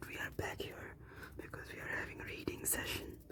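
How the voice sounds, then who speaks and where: A whispered voice comes through noticeable noise in the background. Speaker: ASMR content creator. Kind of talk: casual talk to camera, video intro.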